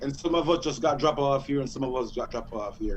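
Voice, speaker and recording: The speech moves at a fairly quick pace with fairly even intonation, and there is noticeable background noise. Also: man. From Jamaica. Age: 40s. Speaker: music artist. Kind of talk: radio interview.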